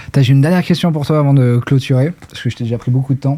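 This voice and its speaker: Here a man speaks at a fairly quick pace. His medium-pitched voice has a dark, mellow tone. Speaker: podcast host. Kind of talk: casual interview. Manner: monotone; low energy.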